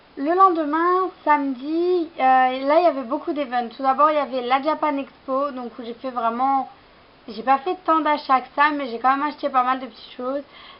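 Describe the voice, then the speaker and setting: A woman's high-pitched voice at a moderate pace, fairly even in intonation, over noticeable background noise. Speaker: fashion vlogger. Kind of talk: haul vlog, casual talk to camera. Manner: hesitant, many fillers.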